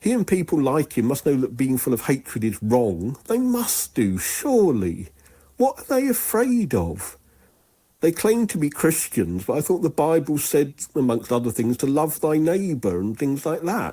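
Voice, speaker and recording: A man in a British accent speaks at fairly high pitch and a moderate pace, with a dark, mellow tone and very wide pitch swings. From England. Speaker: caller. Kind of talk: voicemail message.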